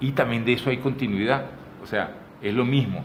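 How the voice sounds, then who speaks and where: A man talks at an average speed, with echo from the room and clear background noise both audible. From Venezuela. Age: 60s. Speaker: photographer and artist. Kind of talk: interview conversation. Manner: animated; halting.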